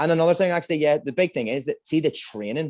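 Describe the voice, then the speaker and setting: A man with a Northern Irish accent at a very fast pace, in a dry, close sound with no echo. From Northern Ireland. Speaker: amateur MMA fighter. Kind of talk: interview. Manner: halting, repetitive.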